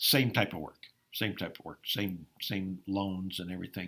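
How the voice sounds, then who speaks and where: On a very clean recording with a silent background, a man talks with an Upper Midwest accent. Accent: Upper Midwest American. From Iowa, US Midwest. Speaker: farmer and former college basketball player. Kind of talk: interview. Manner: frequent hesitations with um.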